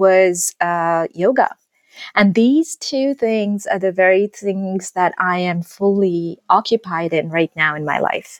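Very slowly, a woman speaks at a medium pitch with ordinary pitch variation, the sound dry and close with no echo. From India. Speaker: yoga teacher. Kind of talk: interview.

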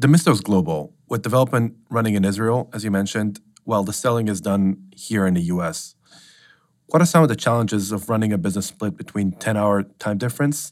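A man's fairly low voice at a fairly quick pace, lively in intonation, an ordinary speaking voice. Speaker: guest host and venture capitalist. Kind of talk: casual interview.

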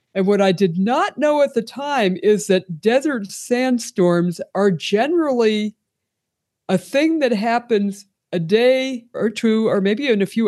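With an American accent, a woman speaks fairly slowly in a fairly high voice that has a dark, mellow tone and lively intonation. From Pennsylvania. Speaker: author and photographer. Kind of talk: interview.

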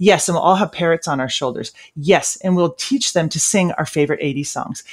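A woman with a plain, everyday voice, fairly low pitch and ordinary pitch variation, at a fairly quick pace, in a very clean recording with a silent background. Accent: American. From Washington State, US. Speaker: comedian and corporate trainer. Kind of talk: interview.

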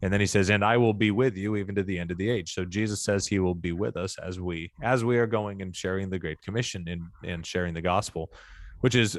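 In a very clean recording with a silent background, a man with an American accent and an unremarkable speaking voice talks at a fairly quick pace, his pitch fairly low and his intonation fairly even. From US South, Arkansas. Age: 20s. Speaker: young evangelist, ministry founder. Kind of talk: interview.

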